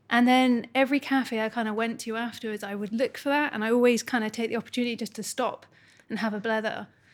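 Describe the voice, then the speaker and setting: In a very clean recording with a silent background, a woman with a Scottish accent speaks at a very fast pace, her fairly high voice monotone and flat. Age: 30s. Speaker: art therapist. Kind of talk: casual chat.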